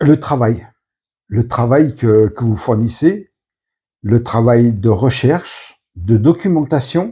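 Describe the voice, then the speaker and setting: A man speaks at a very slow pace with long, frequent pauses, his medium-pitched voice somewhat breathy and dark and mellow in tone. His intonation is lively, and the recording is very clean with a silent background. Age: 50s. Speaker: book reviewer. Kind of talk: interview. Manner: halting.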